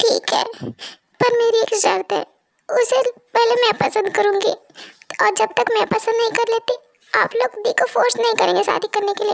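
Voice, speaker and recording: Doing a put-on character voice, a woman speaks at an extremely high pitch and a moderate pace with very even loudness, in a dry, close sound with no echo. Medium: audio drama. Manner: hot-tempered, blunt.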